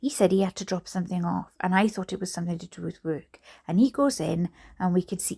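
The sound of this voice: With fairly even intonation, the clip offers an unforced reading voice.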